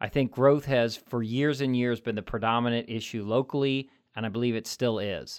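Someone with an American accent speaks at a fairly quick pace in an ordinary speaking voice. The recording is very clean, with a silent background. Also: man. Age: 40s. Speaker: politician. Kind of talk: interview. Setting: studio.

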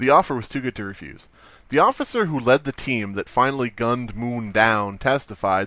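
The passage is read aloud in a natural voice. Its pitch moves in an ordinary way.

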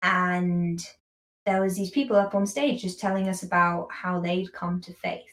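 A woman's somewhat breathy, medium-pitched voice at a fairly slow pace, with fairly even intonation and big swings in loudness. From London, England. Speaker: university student. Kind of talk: casual interview chat.

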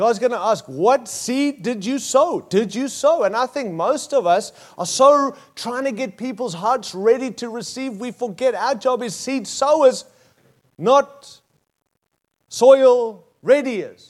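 With an Australian accent, the speaker talks at a very slow pace with ordinary pitch variation. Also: man, extremely high pitch for a man. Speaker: pastor. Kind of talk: sermon. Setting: church with live audience.

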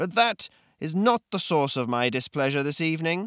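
In a very clean recording with a silent background, a man puts on a wheezy character voice at a fairly high pitch and a moderate pace. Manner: angry, barely contained fury.

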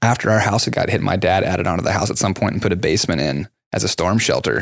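A man speaks at a fairly quick pace with vocal fry in his voice. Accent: American. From Texas, Dallas area. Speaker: podcast host. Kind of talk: scripted outro; casual chat.

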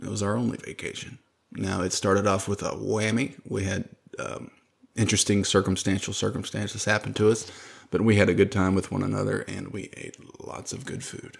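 With an animated tone and a Southern US accent, a man talks at a fairly quick pace, his loudness swinging widely. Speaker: podcast host. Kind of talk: casual chat. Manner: animated, joking.

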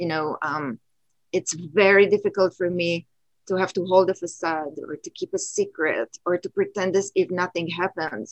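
In a dry, close sound with no echo, a woman uses a normal speaking voice at a medium pitch and moderate pace, with ordinary pitch variation. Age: 50s. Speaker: photographer and teacher. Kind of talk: casual conversation. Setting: video call from home.

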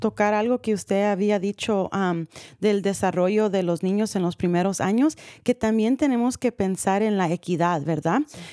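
At a moderate pace, a woman with a medium-pitched, dark, mellow tone speaks with ordinary pitch variation on a very clean recording with a silent background. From California, US (San Rafael, Marin County). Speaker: radio talk show host. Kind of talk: radio interview. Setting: live radio studio broadcast.

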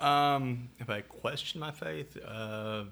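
The speaker has a bright, sharp tone and a Southern US accent. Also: man. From US South. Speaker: patient with chronic illness. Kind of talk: interview. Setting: at home. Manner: halting, many fillers.

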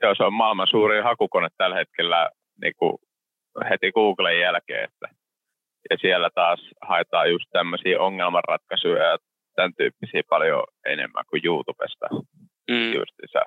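Long pauses come often as this man talks. Otherwise he keeps a moderate pace. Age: 20s. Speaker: construction entrepreneur. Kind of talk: interview.

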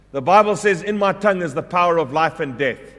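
Over noticeable background noise, a man with a high pitch talks at a fairly quick pace, his pitch varying in an ordinary way. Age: 50s. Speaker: preacher. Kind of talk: sermon. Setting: church.

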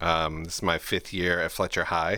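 A bright, sharp tone comes at a moderate pace in a very clean recording with a silent background. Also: man. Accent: American. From Ohio, Cleveland area. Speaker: behavior interventionist and art program founder. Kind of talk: casual interview. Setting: outdoors in a school parking lot.

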